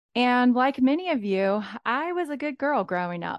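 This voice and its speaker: Lively intonation marks a woman speaking with a South Carolina accent, the sound dry and close with no echo against a quiet background. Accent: Southern US (South Carolina). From US South, South Carolina. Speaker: life coach, podcast host. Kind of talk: solo podcast monologue. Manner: animated.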